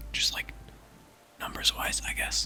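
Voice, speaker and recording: Whispering at a moderate pace in a relaxed tone, with noticeable background noise. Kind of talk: ASMR whisper-style talk to camera while gaming. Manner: whispered, soft-spoken, relaxed.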